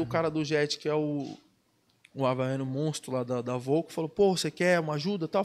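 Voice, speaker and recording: A man talks in an ordinary speaking voice at a fairly quick pace. His pitch sits fairly high, with ordinary pitch variation. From Brazil, Ubatuba (São Paulo coast). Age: 20s. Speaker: professional surfer. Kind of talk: casual chat.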